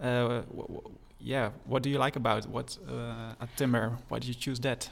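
A man with a Dutch accent talks at a moderate pace. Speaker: podcast host. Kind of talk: interview.

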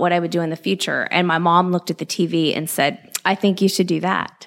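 A woman with a Californian accent and a fairly low pitch talks at a fairly quick pace. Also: very clean recording, silent background. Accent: General American (Californian). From Southern California. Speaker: investigative TV reporter. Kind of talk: podcast interview.

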